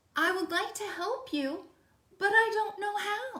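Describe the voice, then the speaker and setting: With audible echo, a woman puts on a squeaky character voice at an extremely high pitch and a fairly slow pace. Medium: read story.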